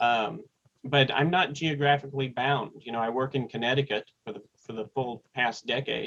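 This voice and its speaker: A man with an American accent talks in a medium pitch. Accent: Texan accent reduced, returns when in Texas. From East Texas, US (Tyler). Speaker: seminary administrator and publisher. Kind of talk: interview conversation. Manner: hesitant, many fillers.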